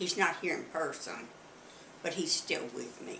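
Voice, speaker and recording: Noticeable noise sits in the background. A woman is the one talking. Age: 80s+. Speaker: grandmother. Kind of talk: interview answer.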